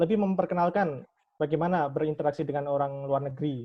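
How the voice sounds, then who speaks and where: This man's voice sits fairly high. He speaks at a fairly quick pace. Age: 20s. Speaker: student, president candidate. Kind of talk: candidate self-introduction at a meeting. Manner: halting, many self-corrections.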